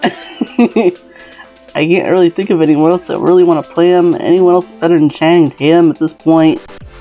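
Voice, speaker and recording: The speaker mumbles. Music plays in the background. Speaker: fan video maker. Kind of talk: casual talk to camera. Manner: mumbly, a bit out of it.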